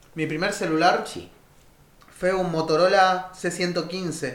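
A man with a Rioplatense accent speaks at a high pitch in a flat monotone. Room echo and noticeable background noise are audible. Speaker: podcast co-host. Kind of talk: casual chat.

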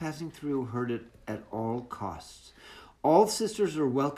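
The intonation rises and falls in a lively way. This is plain reading aloud.

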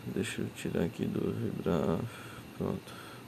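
A man speaks in a relaxed tone at a very slow pace, with audible room echo and noticeable background noise. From Brazil, Acre (Rio Branco). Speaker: podcaster. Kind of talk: casual monologue. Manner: relaxed, laid-back.

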